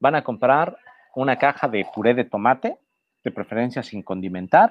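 A man talks at a moderate pace. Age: 40s. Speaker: journalist and food writer. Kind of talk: casual chat.

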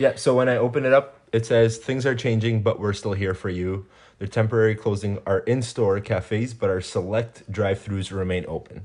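With fairly even intonation, a man of medium pitch speaks at a moderate pace. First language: Spanish. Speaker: podcast guest. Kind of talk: casual chat. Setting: home recording. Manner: hesitant, many fillers.

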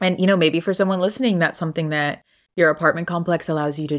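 The voice has an American accent. Its pitch varies in an ordinary way. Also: woman. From Texas. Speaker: podcast host and travel content creator. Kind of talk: casual interview chat. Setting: remote recording from home with headphones. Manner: animated.

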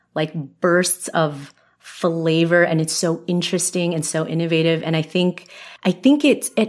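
Here a woman speaks in an ordinary speaking voice at a fairly low pitch. Her pace is moderate. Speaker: podcast host. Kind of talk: casual interview chat.

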